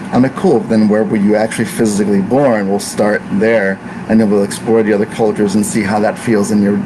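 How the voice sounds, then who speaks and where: A man speaks in a monotone, flat way at a fairly quick pace. His pitch is fairly low, with noticeable background noise. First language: Italian. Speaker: ayurvedic practitioner. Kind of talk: casual talk to camera.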